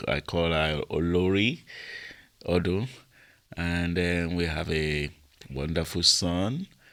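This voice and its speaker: A man with a very deep, low voice speaks at a very slow pace, leaving long, frequent pauses, his intonation fairly even. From Britain, Nigerian parents. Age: 60s. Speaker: prison chaplain. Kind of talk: interview.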